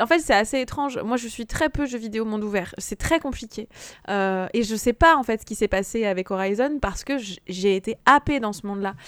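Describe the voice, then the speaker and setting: A woman's fairly high voice at a fairly quick pace with ordinary pitch variation, a normal speaking voice in a dry, close sound with no echo, on a very clean recording with a silent background. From France, Haute-Savoie. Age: 30s. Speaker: video game podcast guest. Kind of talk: casual chat.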